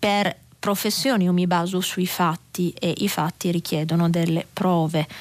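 Speaking fairly slowly with long, frequent pauses, a woman keeps a fairly low pitch, a monotone, flat intonation and very even loudness. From Sardinia. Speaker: newspaper journalist. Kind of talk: press review and listener call-in. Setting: radio studio. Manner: calm, measured.

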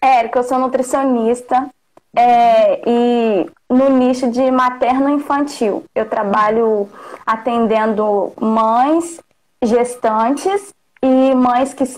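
A high-pitched woman speaks at a very slow pace. Her loudness stays very even. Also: ordinary pitch variation. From Rio de Janeiro state interior. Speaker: nutritionist. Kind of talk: casual chat. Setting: live call on stream.

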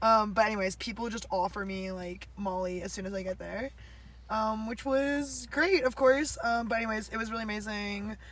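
A woman's normal speaking voice, fairly high in pitch, with ordinary pitch variation, big swings in loudness and a moderate pace. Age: young. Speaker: podcast co-host, tree planter. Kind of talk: casual chat.

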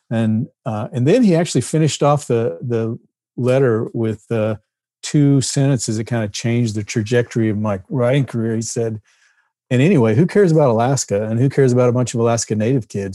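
Over a very clean recording with a silent background, a man with a Texan accent talks at a fairly quick pace in a dark, mellow tone with ordinary pitch variation. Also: medium pitch for a man. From Texas, near Fort Worth. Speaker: novelist and former deputy marshal. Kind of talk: casual interview.

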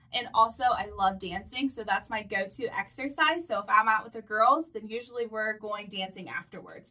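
A woman talks at a moderate pace with a fairly high pitch and ordinary pitch variation. She leaves hardly any pauses, and background noise is noticeable. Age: 20s. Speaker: former bank manager sharing keto experience. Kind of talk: casual interview.

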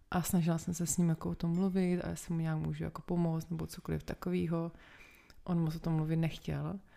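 At a moderate pace, a woman talks in a fairly low voice with a dark, mellow tone. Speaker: podcast guest. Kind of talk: casual chat. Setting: at home.

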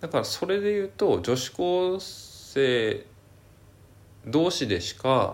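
A man speaking at a very slow pace, with long, frequent pauses. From Hakodate, Hokkaido. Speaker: podcast co-host. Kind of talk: casual chat.

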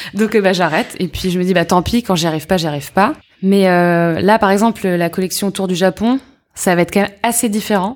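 A woman with a normal speaking voice talks at medium pitch with ordinary pitch variation. The recording is very clean, with a silent background. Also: fairly quick pace. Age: 30s. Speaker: entrepreneur, accessories brand founder. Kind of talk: casual interview.

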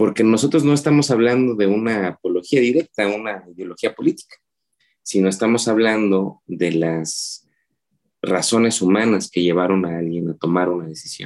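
With a normal speaking voice, a man talks at a moderate pace in a fairly low pitch with lively intonation. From Oaxaca City, Mexico. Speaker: filmmaker and cartoonist. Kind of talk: interview conversation.

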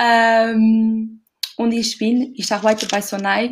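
In a Portuguese accent, a somewhat breathy voice speaks at a very slow pace with fairly even intonation, on a very clean recording against a silent background. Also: woman. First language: Portuguese (speaking German). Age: 30s. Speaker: retail category manager. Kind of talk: casual chat. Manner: halting.

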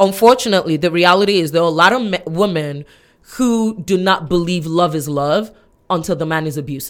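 A woman's normal speaking voice, fairly low in pitch with ordinary pitch variation, on a very clean recording with a silent background. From Nigeria and US (born Chicago, raised in Nigeria). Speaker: podcast guest. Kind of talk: casual discussion.

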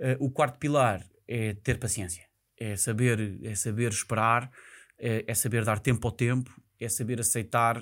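An unremarkable speaking voice from a man, medium in pitch, fairly slow, with fairly even intonation, on a very clean recording against a silent background. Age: 30s. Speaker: real estate investment professional. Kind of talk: casual interview. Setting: studio.

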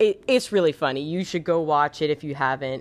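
A woman speaks in a very deep, low pitch with lively intonation. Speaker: podcast host. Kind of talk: casual solo podcast monologue. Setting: home recording with cat. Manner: chatty, gushing, animated.

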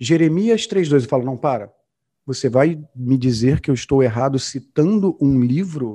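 Against a quiet background, a man with a fairly high pitch and a dark, mellow tone sounds somewhat breathy. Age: 40s. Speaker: entrepreneur. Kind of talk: podcast interview.

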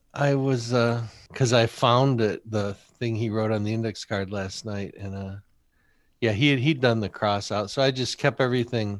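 On a very clean recording with a silent background, a man with an American accent speaks in an unremarkable speaking voice, medium in pitch, with fairly even intonation. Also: moderate pace. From Michigan and Rochester, New York. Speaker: poet and poetry teacher. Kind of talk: interview conversation.

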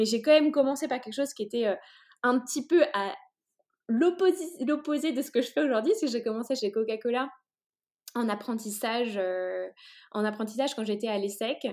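A woman's high voice with lively intonation, at a moderate pace with long, frequent pauses, on a very clean recording with a silent background. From China (French family). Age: 30s. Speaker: entrepreneur. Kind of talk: interview. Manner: halting, many hesitations.

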